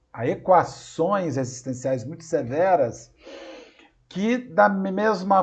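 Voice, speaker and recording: Lively intonation marks a man's very slow speech. Audible room echo is present. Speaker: spiritist lecturer. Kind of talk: lecture. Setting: video call. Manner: halting, repeated syllables. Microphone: unstable internet connection.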